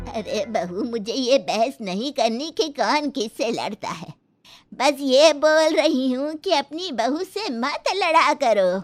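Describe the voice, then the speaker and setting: A woman uses a high-pitched cartoonish character voice with very wide pitch swings at a fairly slow pace. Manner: motherly, scolding.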